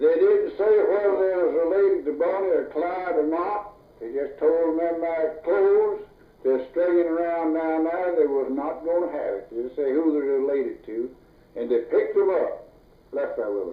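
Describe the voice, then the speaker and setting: At a moderate pace, a man talks with a Southern US accent. Noticeable noise sits in the background. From North Louisiana, USA. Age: 80s+. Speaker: farmer, logger, former deputy sheriff. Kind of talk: oral history interview answer.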